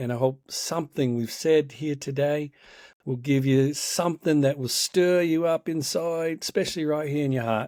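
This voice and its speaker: A man with a New Zealand accent at a moderate pace, ordinary pitch variation, in a very clean recording with a silent background and a dry, close sound with no echo. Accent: picked-up New Zealand accent coming back. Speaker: life coach and podcast host. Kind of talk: podcast conversation.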